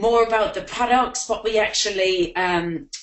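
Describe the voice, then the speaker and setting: This woman talks at a moderate pace with an Irish accent. Her pitch is fairly high, with ordinary pitch variation. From Ireland. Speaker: network marketing distributor. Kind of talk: webinar presentation. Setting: online webinar.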